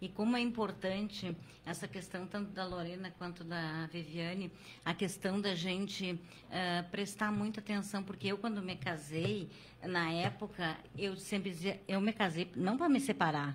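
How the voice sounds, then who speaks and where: At a fairly slow pace, a woman talks in a plain, everyday voice of medium pitch with fairly even intonation. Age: 60s. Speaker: podcast host. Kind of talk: casual chat.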